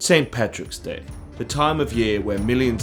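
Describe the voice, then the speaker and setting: A man talks in a fairly low voice while music plays in the background. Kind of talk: comedic cooking series intro.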